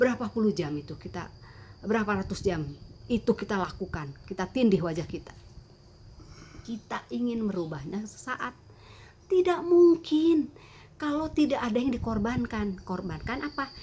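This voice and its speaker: A woman with a fairly high pitch and a dark, mellow, somewhat breathy tone swings very widely in pitch, speaking at a moderate pace with long, frequent pauses. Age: 60s. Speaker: beauty content creator. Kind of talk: tutorial. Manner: halting.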